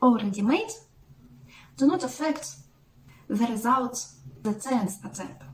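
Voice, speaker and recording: A fairly high-pitched woman with a Russian accent, lively intonation and vocal fry. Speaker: mathematics blogger. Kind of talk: educational explainer. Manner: halting.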